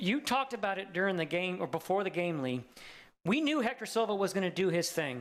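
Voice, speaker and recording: A man at a high pitch and very fast pace, with very wide pitch swings, on a very clean recording with a silent background. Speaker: sports commentator. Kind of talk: live commentary. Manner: animated.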